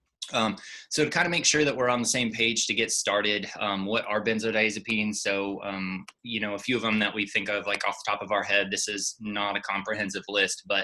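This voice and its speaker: Over noticeable background noise, a man with fairly low pitch talks at a fairly quick pace, with hardly any pauses and fairly even intonation. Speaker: pharmacist presenter. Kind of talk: lecture. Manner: fast.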